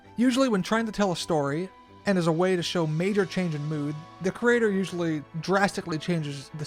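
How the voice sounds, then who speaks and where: A man speaks at a fairly quick pace with lively intonation and a high pitch. Music plays in the background. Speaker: video essayist. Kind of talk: video essay narration.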